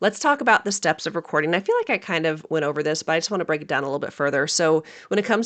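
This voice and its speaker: A woman talks at a very fast pace with a fairly low pitch. Her pitch variation is ordinary, and the background is quiet. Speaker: podcast host and dietitian entrepreneur. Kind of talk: casual podcast talk. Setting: home office. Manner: casual, filler words.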